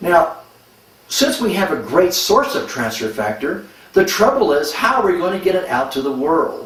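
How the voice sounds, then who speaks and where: Amid noticeable background noise and audible room echo, a high-pitched man speaks at a moderate pace with very wide pitch swings. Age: 70s. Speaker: medical doctor promoting a supplement. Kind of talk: product testimonial.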